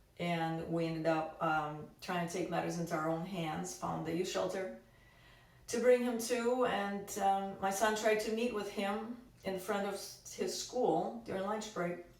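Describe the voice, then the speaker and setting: Over noticeable background noise and audible room echo, a woman speaks fairly slowly at a medium pitch with ordinary pitch variation. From Russia. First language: Russian. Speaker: activist. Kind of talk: testimony. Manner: halting.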